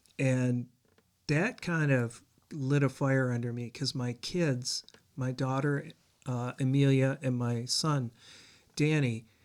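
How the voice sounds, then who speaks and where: A man with an American accent and a medium pitch talks at a very slow pace with long, frequent pauses, in a very clean recording with a silent background. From eastern Michigan (border town near Canada). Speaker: singer-songwriter. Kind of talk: interview.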